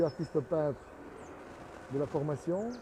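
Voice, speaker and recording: A man talks with a fairly high pitch. There is noticeable background noise behind him. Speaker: artist and sculptor, studio owner. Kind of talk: casual video commentary on own work. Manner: halting, with many hesitations.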